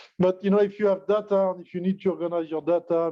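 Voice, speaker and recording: In a French accent, a man speaks at a fairly quick pace with fairly even intonation. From France. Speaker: tech company executive. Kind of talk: webinar presentation. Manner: halting, many fillers.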